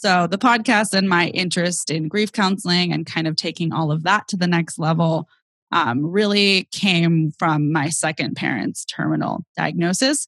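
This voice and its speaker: A woman with a Californian accent and a fairly low pitch, at a moderate pace, in a dry, close sound with no echo. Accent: General American (Californian). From US West Coast, San Francisco Bay Area. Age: 20s. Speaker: comedian and grief podcast host. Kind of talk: casual interview chat.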